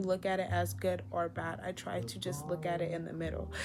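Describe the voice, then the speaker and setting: A woman with a very deep, low voice speaks at a moderate pace, her pitch swinging very widely over music in the background. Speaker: lifestyle vlogger. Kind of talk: casual monologue. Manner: rambling, loses track; casual, filler-heavy.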